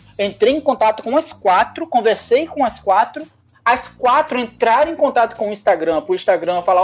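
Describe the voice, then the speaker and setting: Very wide swings in pitch from a man talking very fast. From Brazil, Leopoldina, Minas Gerais (Zona da Mata). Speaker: pet meme page creator. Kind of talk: casual interview chat.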